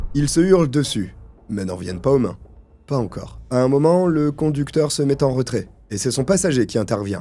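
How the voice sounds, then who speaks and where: Lively in his intonation, a man talks at a moderate pace with a dark, mellow tone. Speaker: true crime YouTuber. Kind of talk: true crime narration, casual asides to viewer.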